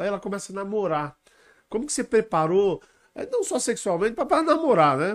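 At a moderate pace, a man speaks with a high pitch in a very clean recording with a silent background. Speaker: web show host. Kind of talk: interview. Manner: halting.

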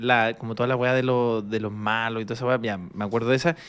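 Very clean recording of a man at medium pitch, silent background behind him. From Chile. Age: 30s. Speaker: comedian. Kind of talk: casual chat. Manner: animated.

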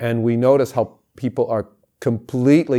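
In a very clean recording with a silent background, a man with an American accent speaks at a fairly slow pace in a dark, mellow tone with fairly even intonation. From California, US. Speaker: mask maker and actor. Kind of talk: interview.

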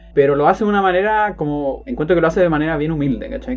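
Very fast speech in a Chilean accent with lively intonation. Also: man. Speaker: podcast co-host. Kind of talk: casual chat.

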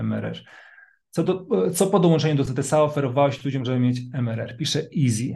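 A man speaks at a moderate pace in a Polish accent, his tone dark and mellow. His voice is somewhat breathy, with ordinary pitch variation. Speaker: online business trainer. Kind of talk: live online training session. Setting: video call webinar. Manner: energetic, enthusiastic.

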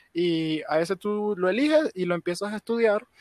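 The sound is dry and close, with no echo. The pace is fairly slow. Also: man, very clean recording, silent background. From Venezuela. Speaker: guest. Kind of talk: casual chat.

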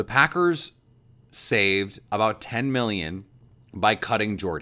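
An animated tone and lively intonation in an American accent, on a very clean recording with a silent background. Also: man. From Milwaukee, Wisconsin. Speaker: sports podcast host. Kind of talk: solo sports podcast talk.

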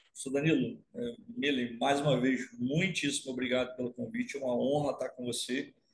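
A man's somewhat breathy, medium-pitched voice at a moderate pace with hardly any pauses. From Rio de Janeiro state, Brazil (Baixada Fluminense). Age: 50s. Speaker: university professor of animal science. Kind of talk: casual interview. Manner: halting, with many repetitions.

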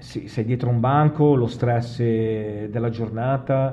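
His intonation is fairly even throughout. The man uses a normal speaking voice, pitched in the medium range. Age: 50s. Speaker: podcast host. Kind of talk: casual interview.

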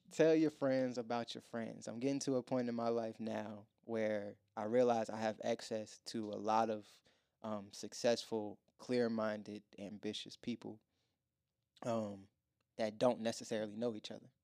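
A man speaks at a moderate pace with an American accent. His medium-pitched voice has a dark, mellow tone and fairly even intonation. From Virginia, US. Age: 20s. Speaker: podcast host. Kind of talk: casual chat. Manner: laughs often.

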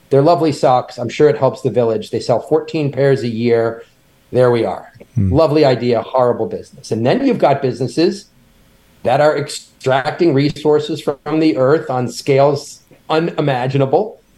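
A man talks at a moderate pace in a dark, mellow, somewhat breathy tone. His pitch varies in an ordinary way. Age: 50s. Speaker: company founder and CEO. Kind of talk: interview.

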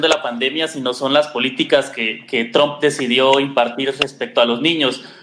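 A man's bright, sharp-toned voice at a moderate pace. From Guatemala. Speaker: pediatrician. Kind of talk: panel discussion.

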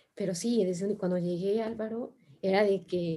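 At a fairly slow pace, a woman speaks with a somewhat breathy voice and a dark, mellow tone. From Mexico. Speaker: sustainability consultant. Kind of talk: interview conversation.

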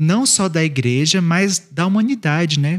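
Recorded dry and close with no echo, this man's voice sits high in pitch and moves at a moderate pace with ordinary pitch variation. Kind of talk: casual chat. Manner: formal.

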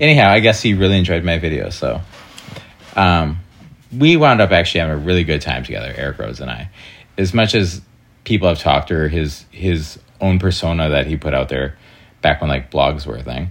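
Vocal fry marks this voice with an American accent, which has ordinary pitch variation and long, frequent pauses. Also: man, very deep, low pitch for a man, fairly quick pace. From Wisconsin, US Midwest. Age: 30s. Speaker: adult film performer. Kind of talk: interview.

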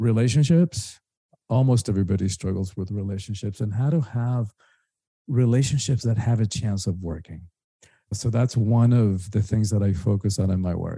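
A somewhat breathy voice with a dark, mellow tone and a Spanish accent, at a moderate pace with ordinary pitch variation, on a very clean recording with a silent background. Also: man, fairly low pitch for a man. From Cuba, then rural Georgia US. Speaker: spiritual teacher and author. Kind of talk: interview conversation.

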